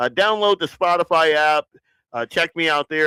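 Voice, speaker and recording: A man with a Southern US accent speaks at a fairly high pitch in a bright, sharp tone, recorded dry and close with no echo in a very clean take against a silent background. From US South. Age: 50s. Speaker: podcast host. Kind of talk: casual chat. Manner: casual, relaxed.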